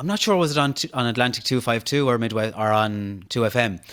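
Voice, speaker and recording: Lively intonation at a very fast pace. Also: man. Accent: western Irish. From Ireland, County Mayo (Castlebar). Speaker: podcast host and social media personality. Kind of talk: interview conversation.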